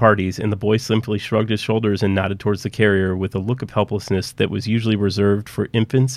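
Reading aloud in a natural voice, nothing more

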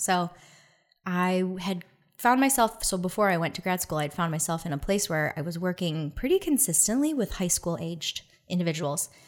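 Captured in a very clean recording with a silent background, a woman speaks at a fairly low pitch with ordinary pitch variation. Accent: Michigan. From Detroit, Michigan. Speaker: dancer and dance lecturer. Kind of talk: casual interview chat.

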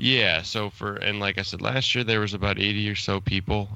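Against a quiet background, a man with an American accent speaks at a moderate pace in a bright, sharp tone. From Chicago, US. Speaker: podcast co-host. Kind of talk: casual podcast interview.

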